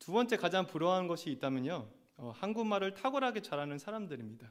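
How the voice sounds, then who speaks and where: Fairly quick and high-pitched, a man's voice moves through very wide pitch swings. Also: very clean recording, silent background. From Argentina. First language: Spanish (speaking Korean). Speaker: assistant pastor. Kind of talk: sermon.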